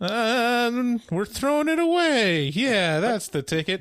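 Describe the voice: A man's put-on character voice, extremely high-pitched, at a fairly slow pace, in a Midwestern accent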